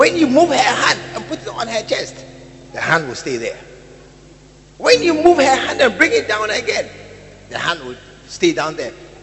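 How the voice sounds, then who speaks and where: Over noticeable background noise, a man speaks at a moderate pace in an animated tone. His loudness swings widely, and he leaves long, frequent pauses. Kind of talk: sermon, preacher in full flow. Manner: animated, rhetorical, repeating words for emphasis, calling out to the congregation; confrontational yet teasing, pausing for crowd response.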